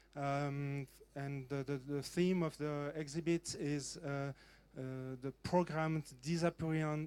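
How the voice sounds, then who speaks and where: On a very clean recording with a silent background, a man with a French accent speaks at a fairly high pitch with fairly even intonation. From French-speaking Switzerland, Lausanne. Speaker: museum curator and computer collector. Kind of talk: panel talk. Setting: conference stage. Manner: halting, many fillers.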